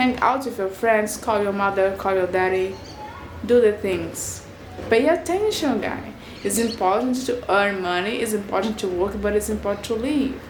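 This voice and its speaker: A woman's fairly high voice with a non-native accent and ordinary pitch variation, in audible room echo with noticeable background noise. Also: moderate pace. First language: not English. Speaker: video blogger. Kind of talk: casual vlog monologue. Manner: halting, searching for words.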